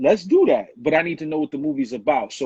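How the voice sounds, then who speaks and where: Dry, close sound without echo, carrying ordinary pitch variation. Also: man. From New York City, Bronx (born Harlem). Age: 30s. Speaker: rapper. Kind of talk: interview. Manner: casual.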